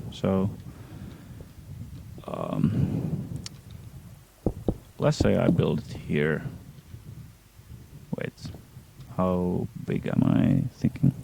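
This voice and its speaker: A man speaks with a very deep, low pitch and very wide pitch swings. His pace is very slow, broken by long, frequent pauses. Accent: non-native. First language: not English. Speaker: gaming streamer. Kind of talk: live gameplay stream commentary. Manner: hesitant, many fillers. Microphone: poor audio quality.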